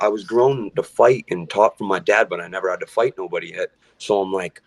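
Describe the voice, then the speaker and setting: A man talks fairly quickly, and the sound stays dry and close with no echo. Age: 20s. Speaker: musician. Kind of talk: casual chat.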